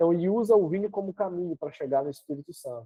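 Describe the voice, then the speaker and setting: Using an ordinary speaking voice, a man talks at a fairly quick pace in a fairly high pitch, with ordinary pitch variation. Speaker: Bible teacher. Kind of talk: lecture.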